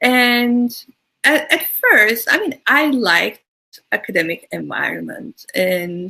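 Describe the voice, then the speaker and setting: A woman with a Turkish accent speaks at a very slow pace. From Turkey, Istanbul. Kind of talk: interview.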